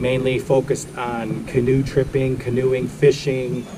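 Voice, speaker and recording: Speaking at a very slow pace, a man with a medium-pitched voice is heard against noticeable background noise. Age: 60s. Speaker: outdoor vlogger. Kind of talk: product review. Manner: casual, filler-heavy.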